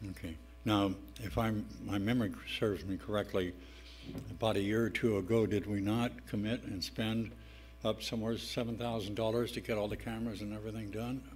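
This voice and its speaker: With audible room echo, a man talks at a fairly quick pace and a fairly low pitch, using ordinary pitch variation. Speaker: city council member. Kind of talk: council meeting discussion. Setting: council chamber. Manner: loud.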